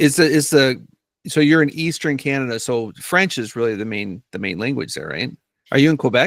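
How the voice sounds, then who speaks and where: Speaking at a fairly quick pace in an Upper Midwest accent, the voice has lively intonation and big swings in loudness. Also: man, medium pitch for a man. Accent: Upper Midwest American. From US Midwest (Northern Minnesota). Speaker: podcast host. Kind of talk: interview.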